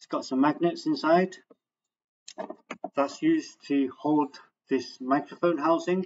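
With fairly even intonation, a man talks. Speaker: product maker demonstrating. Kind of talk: tutorial. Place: home room. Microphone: webcam.

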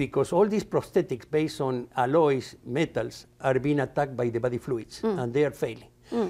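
Speaking with a Spanish accent, a man with a fairly high, dark, mellow voice talks at a fairly quick pace with lively intonation and hardly any pauses. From Argentina. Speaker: materials science professor. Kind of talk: interview. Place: studio. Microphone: lapel.

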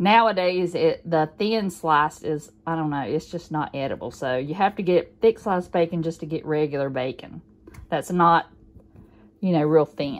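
A woman with an ordinary speaking voice talks at a moderate pace, fairly low in pitch, with ordinary pitch variation. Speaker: home vlogger. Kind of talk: casual vlog chat. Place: kitchen. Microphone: phone near.

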